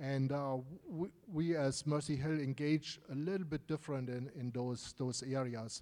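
The man's tone is dark and mellow, with a fairly high pitch. His intonation stays fairly even at a moderate pace. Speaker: missions team member. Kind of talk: church announcement. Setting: church. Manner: hesitant, filler-heavy.

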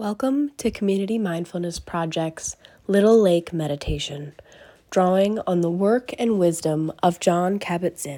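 Calm and soothing, a woman's medium-pitched voice carries a dark, mellow tone. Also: ordinary pitch variation. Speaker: meditation guide. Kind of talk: guided meditation, gentle instructions with long pauses. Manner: slow, calm and soothing, with unhurried pacing; soft-spoken, hushed and gentle.

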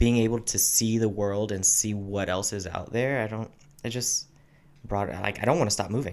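A man speaks in a plain, everyday voice at a moderate pace. His pitch is fairly low, his intonation fairly even. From military family, high school in Texas. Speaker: Air Force member. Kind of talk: casual chat.

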